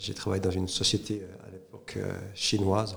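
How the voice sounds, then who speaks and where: A man's fairly low voice at a moderate pace, with fairly even intonation over noticeable background noise. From Switzerland, Neuchâtel (French-speaking). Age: 50s. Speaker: entrepreneur, former corporate executive. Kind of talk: interview. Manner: hesitant with frequent fillers.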